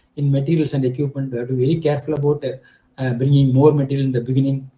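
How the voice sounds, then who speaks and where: Here a man talks at a very fast pace with a fairly high pitch and a dark, mellow tone. His voice is somewhat breathy and his intonation monotone and flat. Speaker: project management expert. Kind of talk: lecture. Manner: halting.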